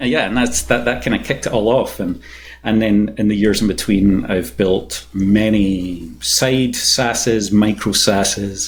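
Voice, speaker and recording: A man's fairly low voice with vocal fry and a Scottish accent. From Scotland. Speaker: software engineering manager and startup co-founder. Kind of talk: podcast interview. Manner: hesitant, many fillers and repeats.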